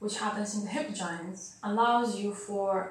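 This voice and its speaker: A woman speaks fairly slowly at a fairly high pitch with fairly even intonation. Noticeable background noise and audible room echo surround her voice. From Bulgaria. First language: Bulgarian. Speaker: dancer and dance scientist. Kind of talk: interview.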